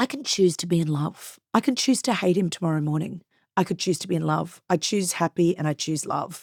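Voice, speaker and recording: Speaking at a fairly quick pace in an Australian accent, a woman with a fairly low pitch sounds animated, the recording very clean with a silent background and a dry, close sound with no echo. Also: ordinary pitch variation. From Queensland, Australia. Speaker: businesswoman and reality TV personality. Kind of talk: podcast interview. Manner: loud.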